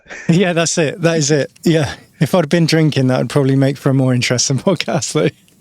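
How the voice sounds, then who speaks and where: Amid noticeable background noise, a man with a fairly high pitch talks at a very fast pace with very even loudness. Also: ordinary pitch variation. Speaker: podcast host and musician. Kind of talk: casual chat.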